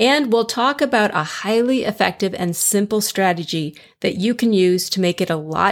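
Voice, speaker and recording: Speaking at a moderate pace with lively intonation, a woman with an American accent has an ordinary speaking voice on a very clean recording with a silent background. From US Midwest, Chicago. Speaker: weight loss coach and podcast host. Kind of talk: solo podcast monologue, coaching advice.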